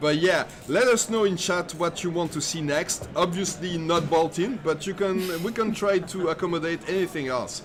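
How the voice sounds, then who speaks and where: A man speaks at a moderate pace in a high voice, with ordinary pitch variation and noticeable background noise. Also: hardly any pauses. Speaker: esports commentator. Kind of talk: live commentary. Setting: live stream.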